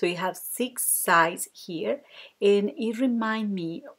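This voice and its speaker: A woman with a Spanish accent speaks at a very slow pace. The recording is very clean, with a silent background. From Colombia. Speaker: card-making crafter. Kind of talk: tutorial.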